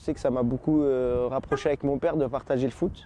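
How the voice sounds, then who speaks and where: Dry and close with no echo, a man's voice carries a dark, mellow tone and fairly even intonation. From Paris, France. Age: 20s. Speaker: football ultra supporter. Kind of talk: interview.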